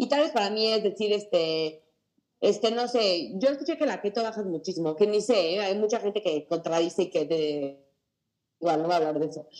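A woman's medium-pitched voice, an ordinary speaking voice, with lively intonation and a fairly quick pace. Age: 20s. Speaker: mental health advocate. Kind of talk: testimony.

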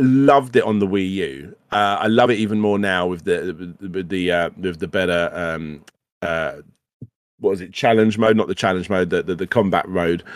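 Animated in tone, a man with a very deep, low pitch speaks at a moderate pace with ordinary pitch variation. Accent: British. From UK. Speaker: retro gaming podcast host. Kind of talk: casual chat. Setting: live stream studio. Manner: animated, stammering repetitions.

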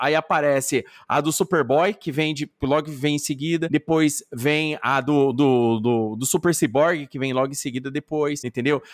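In a very clean recording with a silent background and a dry, close sound with no echo, a man with a plain, everyday voice talks at a moderate pace, with hardly any pauses and a fairly high pitch with ordinary pitch variation. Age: 40s. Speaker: podcaster. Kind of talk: casual chat.

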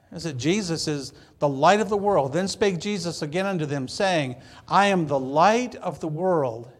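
Someone with an American accent talks at a moderate pace with ordinary pitch variation. Audible room echo surrounds the voice. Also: man. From Michigan. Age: 60s. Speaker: pastor. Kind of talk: sermon. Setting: church.

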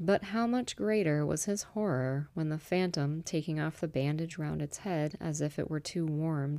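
In a very clean recording with a silent background, a soothing, dark, mellow voice speaks at a moderate pace with ordinary pitch variation. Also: woman. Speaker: podcast host and audiobook reader. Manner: soothing, inviting, second-person guided scene-setting in the intro.

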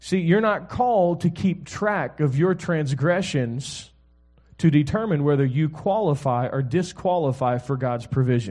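Fairly slow and somewhat breathy, a man speaks in a fairly high voice with an animated, relaxed tone and lively intonation. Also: quiet background. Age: 40s. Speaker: guest preacher, pastor and author. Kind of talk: sermon to a live congregation, preacher with call-and-response. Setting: church stage with audience. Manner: animated, conversational, relaxed, exhorting, with frequent 'amen?' prompts; warm, humorous, fluent but with repeated restarts.

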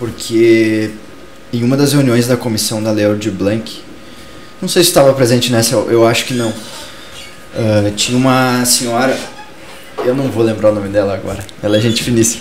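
Pausing long and often, a man with a medium pitch speaks in fairly even intonation, with audible room echo and noticeable background noise. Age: 20s. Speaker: culture talk show host, cultural activist. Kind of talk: casual discussion show. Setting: live-streamed studio show.

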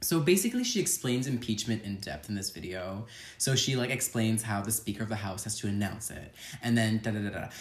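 A somewhat breathy man's voice at medium pitch, fairly quick pace and ordinary pitch variation. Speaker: podcast host. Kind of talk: casual chat. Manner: fast talker; animated.

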